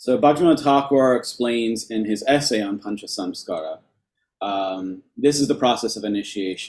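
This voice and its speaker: This man has an unremarkable speaking voice with an American accent, medium pitch, ordinary pitch variation and a moderate pace. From New York. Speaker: lecturer on temple worship. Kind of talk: lecture.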